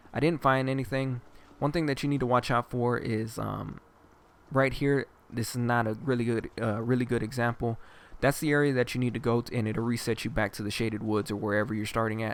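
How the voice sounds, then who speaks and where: Using fairly even intonation, a man at medium pitch talks at a fairly quick pace. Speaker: gaming video guide host. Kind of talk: game walkthrough commentary. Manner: casual, hesitant with fillers.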